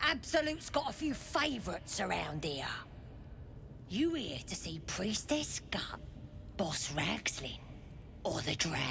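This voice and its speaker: In a put-on character voice, someone whispers with long, frequent pauses over clear background noise. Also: fairly slow pace. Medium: video game. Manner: gruff, streetwise.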